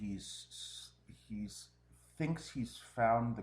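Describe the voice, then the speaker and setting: A man speaks with vocal fry. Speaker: game commentator. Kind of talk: live commentary.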